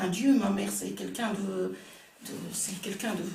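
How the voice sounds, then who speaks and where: A woman talks at a fairly slow pace. Noticeable background noise and audible room echo surround her. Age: 60s. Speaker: participant sharing a medium experience. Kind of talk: testimony. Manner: halting, many hesitations.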